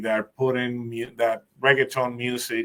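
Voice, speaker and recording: Here a man speaks with a Spanish accent. His pitch is medium and his pace fairly slow. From Puerto Rico. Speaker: program specialist hosting a discussion group. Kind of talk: group discussion. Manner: halting.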